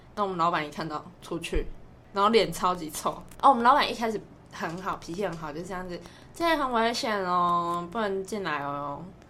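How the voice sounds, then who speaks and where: A woman speaks fairly quickly at a medium pitch, her tone bright and sharp. Her loudness rises and falls in big swings. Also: ordinary pitch variation. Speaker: podcast co-host, part-time fast food worker and tutor. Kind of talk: casual chat. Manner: animated. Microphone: no microphone bought.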